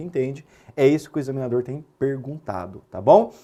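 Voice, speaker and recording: Here a man talks at a moderate pace and a medium pitch. His tone is dark and mellow. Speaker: law exam-prep teacher. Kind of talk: lecture. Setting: recorded classroom with whiteboard.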